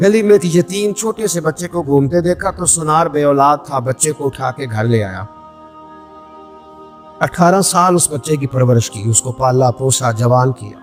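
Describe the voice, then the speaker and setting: A man with a fairly high voice, music in the background. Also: lively intonation. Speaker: Islamic preacher. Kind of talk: Islamic sermon with storytelling. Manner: emotional, passionate.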